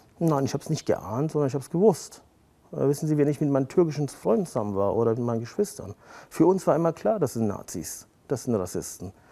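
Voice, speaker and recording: A man talks at a very fast pace in a fairly high pitch with very wide pitch swings and a dark, mellow tone, on a very clean recording with a silent background. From Germany, Siegerland (rural), child of Turkish immigrants. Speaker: lawyer. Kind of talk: interview. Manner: frequent fillers (äh, ja).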